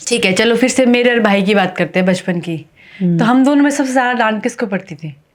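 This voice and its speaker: Lively intonation in an unremarkable speaking voice. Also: woman, fairly high pitch for a woman. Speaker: podcast host. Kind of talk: casual interview questions.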